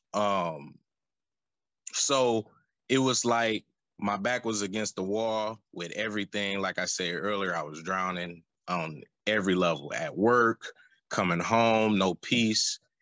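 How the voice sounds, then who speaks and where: A man with an American accent speaks with ordinary pitch variation and long, frequent pauses. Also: fairly slow pace. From US Midwest, Flint, Michigan. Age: 30s. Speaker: interview guest. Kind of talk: testimony. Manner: halting, many fillers.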